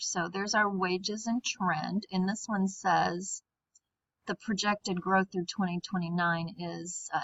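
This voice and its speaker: At a fairly slow pace, a woman with a plain, everyday voice speaks at a medium pitch with fairly even intonation. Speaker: high school teacher. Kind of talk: screen-recorded tutorial.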